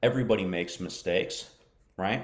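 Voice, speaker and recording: Audible room echo around a man speaking with an American accent. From United States. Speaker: English teacher. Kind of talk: live-stream lesson. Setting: Facebook live broadcast. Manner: hesitant, many fillers.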